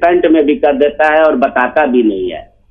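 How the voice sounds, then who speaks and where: A man with a fairly high pitch. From Bihar, India (Arrah). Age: 60s. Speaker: caller. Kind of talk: phone-in question. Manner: halting.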